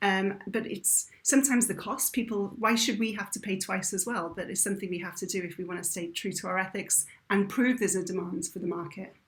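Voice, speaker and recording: Somewhat breathy and medium-pitched, a woman with a slight British accent speaks at a fairly quick pace with ordinary pitch variation. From Britain. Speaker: adventurer and motivational speaker. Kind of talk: podcast interview.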